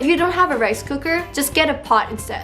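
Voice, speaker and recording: A woman speaks with a Taiwanese accent. Music plays in the background. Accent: Taiwanese Mandarin-accented English. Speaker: home cook. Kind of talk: cooking tutorial voiceover. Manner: casual, friendly.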